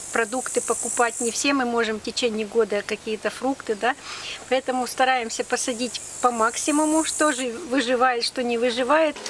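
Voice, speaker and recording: Noticeable background noise sits under speech that keeps a moderate pace and fairly even intonation. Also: woman, high pitch for a woman. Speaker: nature reserve botanist. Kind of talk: interview answer.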